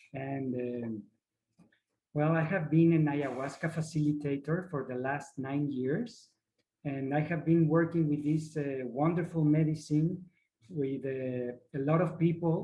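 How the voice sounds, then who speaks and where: A man's fairly high, somewhat breathy voice with a dark, mellow tone, fairly slow pace and fairly even intonation. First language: not English. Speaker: ayahuasca facilitator. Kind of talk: workshop presentation. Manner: halting, searching for words.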